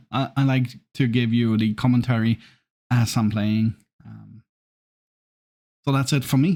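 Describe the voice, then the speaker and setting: A man speaks at a medium pitch with a dark, mellow tone, fairly even intonation and long, frequent pauses. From Scandinavia. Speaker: gaming YouTuber. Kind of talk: gameplay commentary. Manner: hesitant, many ums. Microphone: work microphone, poor audio quality.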